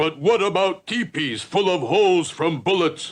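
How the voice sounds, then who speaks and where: A man uses a cartoonish character voice pitched high. He keeps a moderate pace. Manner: clipped broken sentences.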